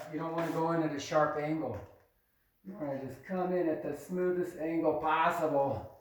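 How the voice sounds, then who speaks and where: In a room with audible echo, a man with a fairly high pitch and fairly even intonation talks with big swings in loudness. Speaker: drywall tradesman. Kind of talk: tutorial.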